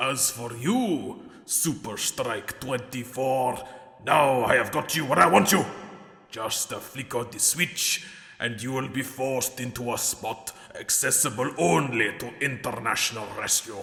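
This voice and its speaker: The put-on character voice moves at a moderate pace. Hissing can be heard. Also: man, medium pitch for a man. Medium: audio drama. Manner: hissing, sinister.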